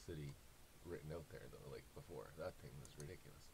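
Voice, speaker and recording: A man talks at a fairly quick pace in a somewhat breathy voice. There is light background noise. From Canada. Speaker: YouTuber; sports content creator. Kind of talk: casual monologue. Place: home room. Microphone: webcam.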